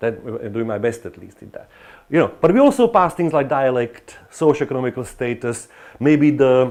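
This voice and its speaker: A man with a Slovak accent speaks at a moderate pace and medium pitch, with ordinary pitch variation and big swings in loudness. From Slovakia. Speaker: professor. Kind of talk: lecture. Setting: lecture hall with students. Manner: animated.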